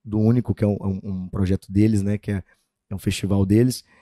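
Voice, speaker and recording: A man speaks very fast in a fairly low, dark and mellow voice with monotone, flat intonation. The background is quiet. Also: dry sound with no echo. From Goiás countryside, Brazil. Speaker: sertanejo singer-songwriter; guest. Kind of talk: interview. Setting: studio. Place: studio. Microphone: studio mic.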